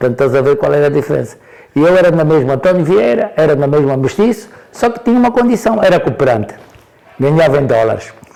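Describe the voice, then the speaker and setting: At a very fast pace, a man swings his fairly high pitch very widely. Noticeable background noise runs throughout. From Angola, Porto Amboim (Cuanza Sul). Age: 70s. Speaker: elder interviewee. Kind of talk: interview storytelling. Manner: halting, repetitive.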